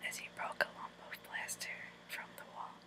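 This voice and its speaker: A woman is whispering at a moderate pace, with noticeable background noise behind her. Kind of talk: whispered storybook reading for relaxation. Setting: recorded in bed at night. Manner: whispered, soft.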